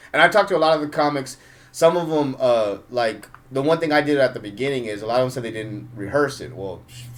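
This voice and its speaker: Speaking very fast, a man at medium pitch shows ordinary pitch variation and big swings in loudness. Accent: American. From Los Angeles, US. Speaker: stand-up comedian. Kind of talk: casual interview chat. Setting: studio. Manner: fast talker.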